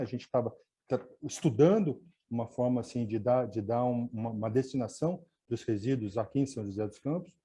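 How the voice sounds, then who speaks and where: A somewhat breathy voice with a dark, mellow tone at a fairly quick pace. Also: man. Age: 60s. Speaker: environmentalist and radio host. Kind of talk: webinar talk. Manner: halting, with filler words.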